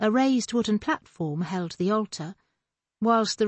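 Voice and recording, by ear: Reading aloud in a natural voice is heard over a quiet background.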